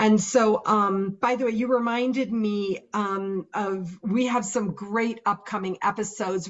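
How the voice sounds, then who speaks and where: A woman at a fairly slow pace, medium in pitch, with fairly even intonation and noticeable background noise. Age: 60s. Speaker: confidence coach, podcast co-host. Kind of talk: casual chat. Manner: hesitant, many fillers.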